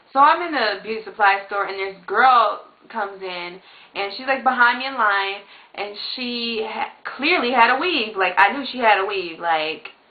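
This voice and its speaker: A woman's fairly high voice with lively intonation and big swings in loudness, amid audible room echo and noticeable background noise. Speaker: beauty vlogger. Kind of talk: casual vlog monologue. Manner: fast; animated.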